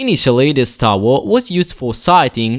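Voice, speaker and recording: Recorded very cleanly against a silent background, a man speaks at a moderate pace in a fairly high voice. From southern Italy, Basilicata. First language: Italian. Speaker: university student presenting his hometown. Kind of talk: scripted narration.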